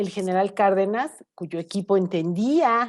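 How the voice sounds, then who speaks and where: A woman with a plain, everyday voice speaks at medium pitch with ordinary pitch variation. The recording is very clean, with a silent background. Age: 50s. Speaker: energy analyst. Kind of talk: panel discussion.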